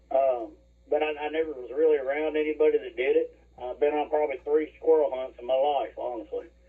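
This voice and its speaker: Monotone and flat, a man with a fairly high pitch talks at a very fast pace. His loudness swings widely. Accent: Alabama. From Alabama, moved from West Virginia at seven. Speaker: hunter. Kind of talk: casual chat. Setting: at home, remote call. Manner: hesitant, many fillers.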